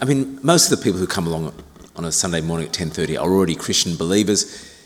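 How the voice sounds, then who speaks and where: Lively intonation at a very fast pace over noticeable background noise. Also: man. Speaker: senior minister. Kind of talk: sermon. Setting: church.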